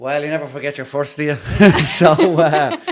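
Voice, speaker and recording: The speaker has an Irish accent. Noticeable background noise is present. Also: man. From Ireland, Dublin (Blackrock). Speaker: actor. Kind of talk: interview.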